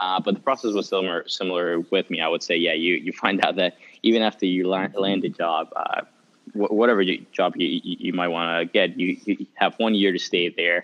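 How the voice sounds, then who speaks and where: Speaking fairly quickly, this man has a Spanish accent. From Mexico City. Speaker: international student. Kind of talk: casual chat.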